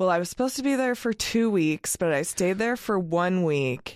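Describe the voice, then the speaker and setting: A woman with a medium pitch and an American accent speaks in a normal speaking voice against a quiet background. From US Northwest, Oregon (Eugene). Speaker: freelance graphic designer. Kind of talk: casual chat.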